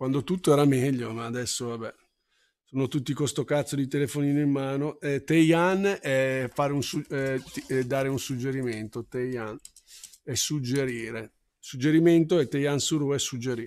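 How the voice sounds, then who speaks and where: Medium-pitched male speech with fairly even intonation, a moderate pace, and long, frequent pauses. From Milan, Italy. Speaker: Japanese language teacher. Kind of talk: live-streamed language lesson.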